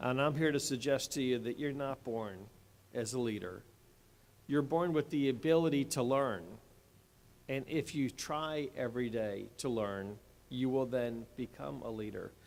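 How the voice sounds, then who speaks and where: With an American accent, a man talks at medium pitch and a moderate pace, using ordinary pitch variation. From Delaware area, US. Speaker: state attorney general, commencement speaker. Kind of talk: commencement speech. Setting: stage with audience in an athletic center.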